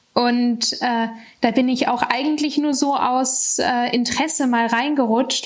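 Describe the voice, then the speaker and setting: Amid noticeable background noise, a woman speaks at a fairly slow pace with a high pitch and fairly even intonation. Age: 20s. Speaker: former young startup founder and student. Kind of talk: interview.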